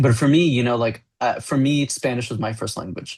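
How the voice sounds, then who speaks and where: With a Miami accent, a man talks at a fairly quick pace in a somewhat breathy voice. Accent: Miami American English. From US, Miami. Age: adult. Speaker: graphic novel writer. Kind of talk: interview.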